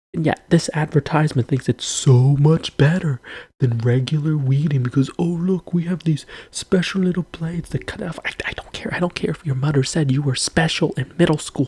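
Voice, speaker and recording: Whispering at a fairly quick pace. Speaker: video creator. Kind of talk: rant.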